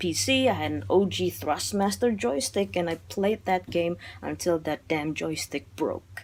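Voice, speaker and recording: A woman speaks in an Indonesian accent. Her pace is moderate. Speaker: film reviewer. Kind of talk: casual video monologue. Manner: animated; halting.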